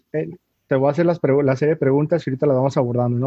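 The voice here belongs to a man. It has a medium pitch. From Mexico, Tijuana. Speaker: podcast host. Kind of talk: casual chat. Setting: video call.

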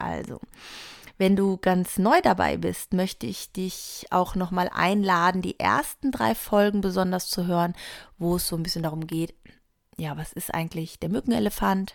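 On a very clean recording with a silent background, a woman speaks at a moderate pace with a fairly low pitch and vocal fry. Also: ordinary pitch variation.

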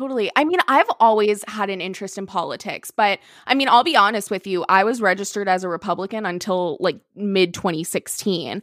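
A woman talks in an animated tone at a fairly quick pace with hardly any pauses, using a medium pitch and ordinary pitch variation. The sound is dry and close, with no echo. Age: 20s. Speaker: podcaster, entertainment social media worker. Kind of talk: casual chat. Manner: loud; animated, laughs often.

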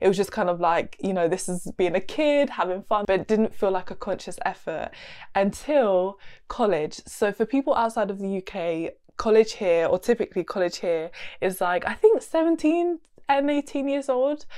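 A woman with an English accent speaks at medium pitch and a moderate pace, her tone dark and mellow. Her pitch swings very widely over a quiet background. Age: 20s. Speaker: podcast host and nutritionist. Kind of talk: solo casual chat.

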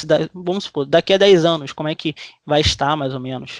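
Lively intonation marks a man's voice, heard with a dry, close sound and no echo. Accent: Brazilian. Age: 20s. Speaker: podcast host. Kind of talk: interview. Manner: animated.

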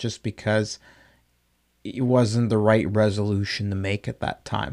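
In a very clean recording with a silent background, a man talks at a medium pitch with fairly even intonation. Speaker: podcast host. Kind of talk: casual solo monologue. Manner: loud.

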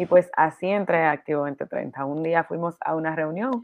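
Speaking at a fairly slow pace, a woman with a plain, everyday voice has a fairly low pitch and ordinary pitch variation. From Dominican Republic. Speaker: podcast co-host. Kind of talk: casual chat.

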